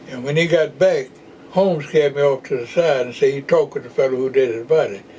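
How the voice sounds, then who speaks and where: A man talks at a very fast pace with a fairly high pitch and ordinary pitch variation. Noticeable background noise runs behind him. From Jacksonville, Florida. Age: 90s. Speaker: retired postal worker and voter registration activist. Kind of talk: oral history interview answer.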